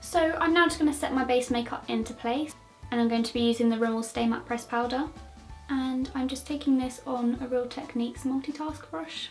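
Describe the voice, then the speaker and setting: With music in the background, a woman speaks in a high pitch with ordinary pitch variation. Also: fairly quick pace. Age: 20s. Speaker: beauty vlogger. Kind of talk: makeup tutorial talk to camera. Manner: casual, chatty.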